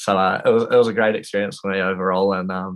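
A man with a New Zealand accent speaks at a fairly quick pace in a very deep, low voice. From New Zealand, Wanaka. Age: 20s. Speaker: professional skier and student. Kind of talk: casual interview.

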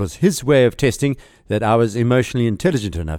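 A man races along at a very fast pace, captured on a very clean recording with a silent background. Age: 50s. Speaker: podcast host and pilot. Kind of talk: scripted narration. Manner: formal.

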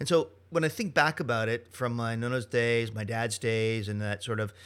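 A man with a Canadian accent has a plain, everyday voice at a medium pitch, moving at a fairly quick pace. The recording is very clean with a silent background. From Ontario, Canada (Dundas, near Hamilton). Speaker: chef and culinary professor. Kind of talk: interview. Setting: studio.

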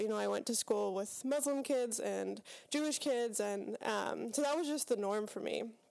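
An unremarkable speaking voice at a moderate pace. The recording is very clean, with a silent background. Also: woman. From Pittsburgh, western Pennsylvania. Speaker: seminary student. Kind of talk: casual interview. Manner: thoughtful, many fillers.

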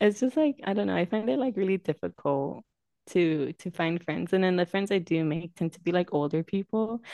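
Fairly quick and lively in intonation, a woman speaks in a plain, everyday voice with a fairly low pitch. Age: 20s. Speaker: podcast co-host. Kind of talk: casual chat. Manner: laughs often, chatty.

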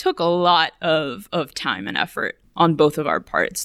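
With an American accent, a woman speaks in a plain, everyday voice on a very clean recording with a silent background. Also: dry, close sound with no echo. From US South, McAllen, Texas border. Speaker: graduate student. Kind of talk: interview.

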